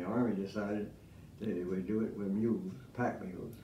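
A man speaks with a fairly low pitch and fairly even intonation. Light background noise and audible room echo surround his voice. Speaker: WW2 Navy veteran. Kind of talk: interview answer. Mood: reminiscing, calm storytelling. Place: studio.

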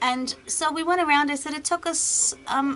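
A woman uses a raised, projected voice at a fairly slow pace. Her pitch variation is ordinary, with light background noise behind her. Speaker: beauty vlogger. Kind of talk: casual vlog chat. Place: home room. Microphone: webcam.

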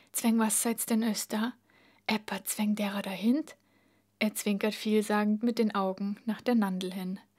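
On a very clean recording with a silent background, a woman speaks very slowly in a Bavarian accent. Her voice is fairly high and somewhat breathy, with fairly even intonation. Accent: Bavarian dialect in dialogue. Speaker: reader. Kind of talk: audiobook reading.

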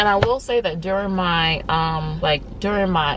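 This woman's voice is recorded dry with no echo, over light background noise. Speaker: vlogger. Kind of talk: casual vlog chat. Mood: relaxed, animated. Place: car. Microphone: phone near.

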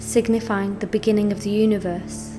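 Music in the background behind a woman's moderate pace. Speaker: meditation guide. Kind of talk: guided meditation. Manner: calm, instructional.

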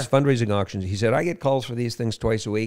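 Against a quiet background, the speaker's pitch moves with ordinary variation. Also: man. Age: 60s. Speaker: fundraising auctioneer, entertainer, recording artist. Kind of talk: interview answer, casual storytelling. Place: studio. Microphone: studio mic.

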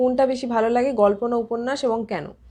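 A woman speaks in a high pitch. Her tone is dark and mellow. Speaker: book YouTuber. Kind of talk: Q&A monologue to camera. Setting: at home.

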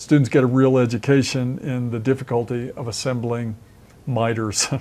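A man speaks at a fairly slow pace in a dark, mellow tone. His intonation is fairly even. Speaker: construction trainer. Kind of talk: tutorial. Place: studio. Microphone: lapel.

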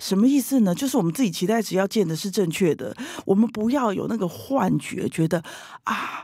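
A woman speaks at a fairly quick pace with lively intonation, a medium pitch, a dark, mellow tone and vocal fry. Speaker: leadership coach. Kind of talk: interview. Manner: loud.

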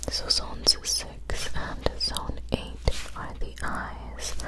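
Over loud background noise, a soft-spoken woman talks. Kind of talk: soft-spoken roleplay explanation. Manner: soft, hushed ASMR speech. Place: home room. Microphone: studio mic.

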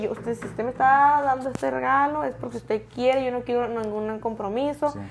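Against light background noise, a woman talks fairly quickly at a high pitch. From Mexico. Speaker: social media content creator. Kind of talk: casual chat. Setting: studio. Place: studio. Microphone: lapel.

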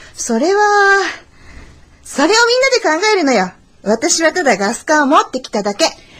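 Using a put-on character voice, a woman speaks at an extremely high pitch and a moderate pace, with very wide pitch swings and long, frequent pauses. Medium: audio drama. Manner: brash, excitable.

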